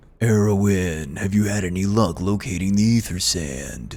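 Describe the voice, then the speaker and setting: Pitched fairly low, the man's voice is a put-on character voice. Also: moderate pace, ordinary pitch variation. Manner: put-on voice.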